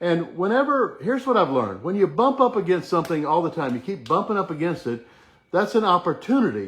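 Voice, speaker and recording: A man speaks at a high pitch with very wide pitch swings. He goes at a very fast pace. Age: 60s. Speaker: chiropractic wellness teacher / live-stream host. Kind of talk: live-stream motivational talk. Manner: casual, conversational.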